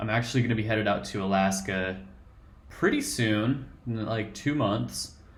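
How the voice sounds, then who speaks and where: A man speaks with a Colorado accent at a fairly slow pace. His pitch sits fairly low. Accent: Colorado, American. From Colorado, USA. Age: 20s. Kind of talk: casual talk to camera.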